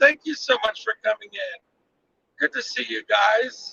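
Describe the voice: A man's extremely high, bright, sharp voice with vocal fry, dry and close with no echo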